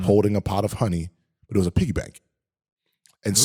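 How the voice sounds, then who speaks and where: Speaking at a very fast pace, a man with a fairly low pitch sounds somewhat breathy, his intonation fairly even. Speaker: podcast guest. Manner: casual storyteller.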